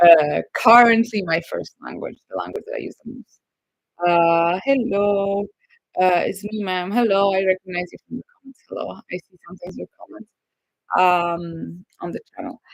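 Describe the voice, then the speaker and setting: The speaker has a Polish accent. The pace is moderate. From Poland. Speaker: YouTuber. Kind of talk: live stream Q&A. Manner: hesitant, many fillers.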